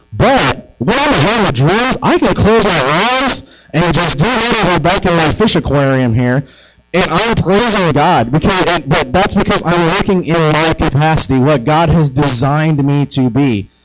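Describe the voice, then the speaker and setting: Despite noticeable background noise, the loudness stays very even while the pitch swings very widely. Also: man, fairly high pitch for a man, moderate pace. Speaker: preacher. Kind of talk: sermon. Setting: church.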